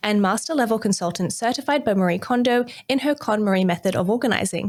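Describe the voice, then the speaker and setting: Her pitch fairly high, a woman speaks at a very fast pace with lively intonation. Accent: Australian. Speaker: podcast host. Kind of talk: podcast interview.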